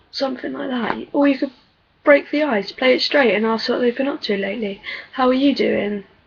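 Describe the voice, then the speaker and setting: Her voice high and her pitch variation ordinary, a woman speaks at a moderate pace in an English accent. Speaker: vlogger. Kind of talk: casual chat. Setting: webcam video at home. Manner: soft-spoken.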